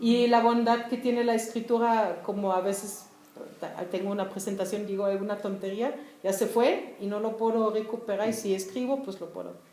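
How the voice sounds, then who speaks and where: With a German accent, a woman talks at a moderate pace and fairly high pitch with fairly even intonation, amid audible room echo and noticeable background noise. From East Germany, Berlin. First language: German (speaking Spanish). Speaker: writer. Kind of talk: casual talk.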